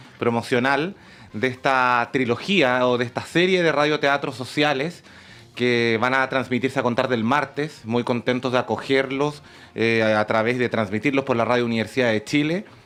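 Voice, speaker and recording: This man speaks at a medium pitch with ordinary pitch variation. His loudness stays very even, and his pace is moderate. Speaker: university academic and radio-drama producer. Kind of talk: radio interview answer. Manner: enthusiastic, talkative.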